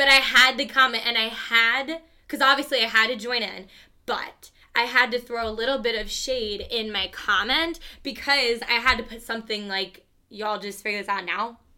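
Her voice is fairly high-pitched and bright, with a sharp edge, and a woman speaks at a moderate pace. Pitch moves in an ordinary way while loudness swings widely. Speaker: podcast co-host. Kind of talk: casual chat.

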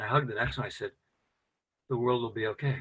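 The speaker is a man with a medium-pitched voice. His pitch varies in an ordinary way. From US Midwest. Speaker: men's work founder. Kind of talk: casual chat.

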